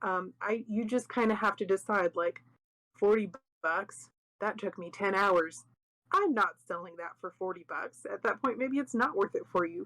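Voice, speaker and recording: A soft-spoken woman with a bright, sharp tone, ordinary pitch variation and a moderate pace, in a very clean recording with a silent background and a dry, close sound with no echo. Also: medium pitch for a woman. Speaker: craft workshop teacher. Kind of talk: informal workshop class. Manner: quieter, soft; casual, conversational.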